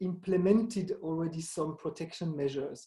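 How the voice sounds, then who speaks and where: With a dark, mellow tone, a man talks, his pitch varying in an ordinary way. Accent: French. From Switzerland, French-speaking. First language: French. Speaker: museum association director. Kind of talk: Q&A interview. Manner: halting, many fillers and restarts.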